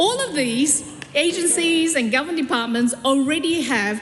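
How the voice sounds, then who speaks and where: A woman's lively intonation at a moderate pace, with noticeable background noise and audible room echo. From South Korea. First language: Korean. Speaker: politician. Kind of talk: parliamentary speech. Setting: parliament chamber. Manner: halting.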